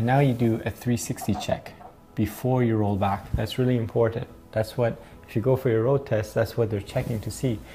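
Faint music plays in the background as a man talks at a fairly quick pace with fairly even intonation. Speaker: driving instructor. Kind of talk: tutorial. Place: home room.

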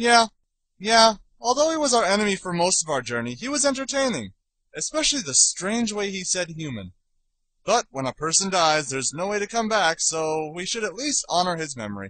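A cartoonish character voice with big pitch swings and a bright, sharp tone. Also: man, high pitch for a man, moderate pace.

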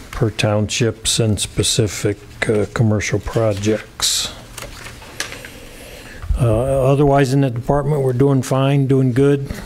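A man at a very slow pace, fairly even intonation and light background noise behind him. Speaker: county department head giving a report. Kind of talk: report to a public meeting. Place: meeting room. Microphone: podium.

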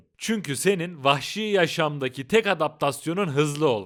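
The speaker has a normal speaking voice with lively intonation at a moderate pace in a very clean recording with a silent background. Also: man. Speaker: documentary YouTuber. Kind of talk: sponsor read; documentary narration. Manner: casual, slangy. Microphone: Boya BY-M1000 Pro microphone.

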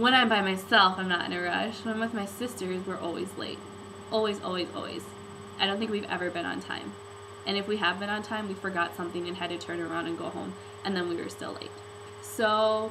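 Over noticeable background noise, the woman speaks at a fairly quick pace. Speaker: vlogger. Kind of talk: casual vlog chat. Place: home room. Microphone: webcam.

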